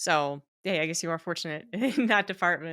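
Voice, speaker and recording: A woman's fairly low voice with a bright, sharp tone and a Mid-Atlantic accent, ordinary pitch variation, a fairly quick pace, and a very clean recording over a silent background. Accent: American mid-Atlantic. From United States. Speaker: podcast host. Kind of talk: interview.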